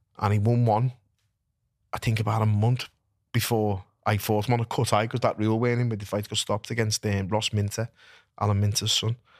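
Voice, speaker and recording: In a Liverpool accent, a man talks very fast with a fairly low, monotone, flat voice on a very clean recording with a silent background and a dry, close sound with no echo. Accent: Scouse. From Liverpool, England. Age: 40s. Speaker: retired professional boxer. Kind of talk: casual chat. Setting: studio.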